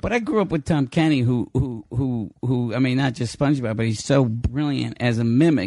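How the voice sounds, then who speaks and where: A man speaks at a moderate pace, barely pausing at all. His medium-pitched voice has a dark, mellow tone and ordinary pitch variation. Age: 50s. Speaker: stand-up comedian. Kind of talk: casual chat.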